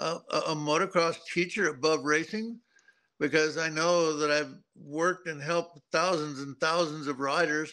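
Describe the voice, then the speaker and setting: A man speaks fairly slowly in a bright, sharp tone. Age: 70s. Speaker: retired motocross racer and riding teacher. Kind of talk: interview. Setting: remote link to studio.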